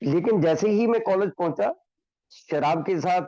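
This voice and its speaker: This man's voice has a dark, mellow tone and ordinary pitch variation. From Himachal Pradesh, India. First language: Hindi (speaking Telugu). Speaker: recovering alcoholic speaker. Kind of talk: recovery testimony. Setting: online meeting.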